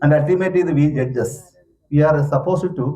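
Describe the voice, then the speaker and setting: A man with a fairly high pitch and ordinary pitch variation speaks in a dark, mellow, somewhat breathy tone. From Kerala, India (Idukki district). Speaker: judge. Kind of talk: conference talk.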